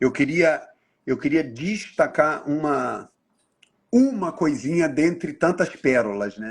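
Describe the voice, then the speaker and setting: Over a quiet background, a man with a fairly high voice and vocal fry speaks at a very slow pace with lively intonation. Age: 60s. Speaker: NGO leader, live host. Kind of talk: casual interview chat.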